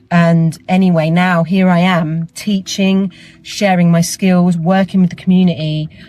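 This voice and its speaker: Against noticeable background noise, a woman with an Essex accent speaks at a fairly low pitch and a fairly slow pace, in a monotone, flat intonation with very even loudness. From Essex, England. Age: 40s. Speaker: theatre artist and teacher. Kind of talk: personal testimony. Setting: travelling, on the way to teach.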